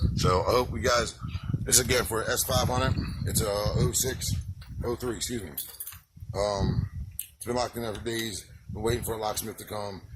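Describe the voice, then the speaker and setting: Pausing long and often, a man with a medium pitch talks at a moderate pace with fairly even intonation over noticeable background noise. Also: big swings in loudness. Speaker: DIY car owner / YouTuber. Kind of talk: DIY tutorial video. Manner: casual, halting with fillers.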